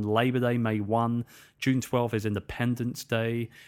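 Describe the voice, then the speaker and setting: A man with a British accent in a very clean recording over a silent background. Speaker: podcast host and author. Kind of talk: solo podcast monologue. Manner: informal, friendly, fillers.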